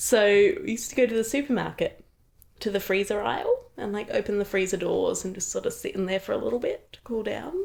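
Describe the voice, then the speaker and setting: Someone talks at a very fast pace with an Adelaide accent. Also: woman. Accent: Adelaide accent, slightly British-sounding. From Adelaide, South Australia. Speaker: opera singer. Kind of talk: casual interview chat. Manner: animated.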